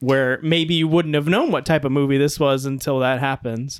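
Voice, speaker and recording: This is a man at medium pitch. He has an ordinary speaking voice. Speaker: movie podcast host. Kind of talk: casual chat.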